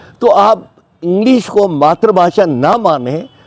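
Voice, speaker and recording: A man's voice, high in pitch. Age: 80s+. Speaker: English teacher. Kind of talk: interview answer.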